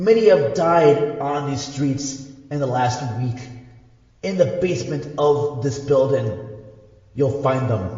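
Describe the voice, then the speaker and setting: Putting on a wheezy character voice, a man speaks fairly slowly at a fairly high pitch with long, frequent pauses and a strong echo. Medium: audio drama. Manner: slow, halting, grave.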